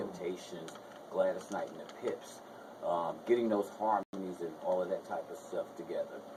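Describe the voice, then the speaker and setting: Amid noticeable background noise, a man talks at a moderate pace with big swings in loudness. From New Jersey, Essex County. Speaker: singer. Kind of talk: radio interview.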